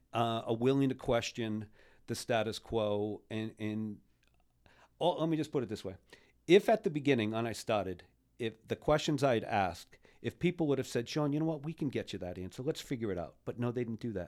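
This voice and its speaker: A man's plain, everyday voice in an American accent, medium in pitch, with lively intonation and a fairly quick pace, in a very clean recording with a silent background. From US Northeast (Rhode Island). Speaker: podcast co-host, local civic activist. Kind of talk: casual chat. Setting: studio.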